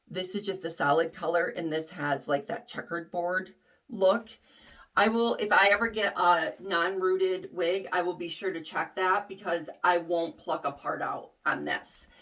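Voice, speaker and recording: A woman speaks loud at a medium pitch and moderate pace, with ordinary pitch variation. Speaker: wig reviewer. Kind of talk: product review tutorial. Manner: casual, hesitant with fillers.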